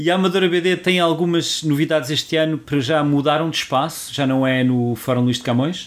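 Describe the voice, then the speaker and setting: A man with an unremarkable speaking voice talks fairly quickly with hardly any pauses. His pitch is fairly high, with ordinary variation and very even loudness. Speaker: podcast co-host. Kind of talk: casual chat.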